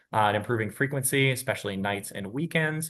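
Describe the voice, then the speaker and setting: Against a quiet background, a man at medium pitch talks at a fairly quick pace with ordinary pitch variation. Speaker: transit advocacy manager. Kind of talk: presentation at a meeting. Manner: fast.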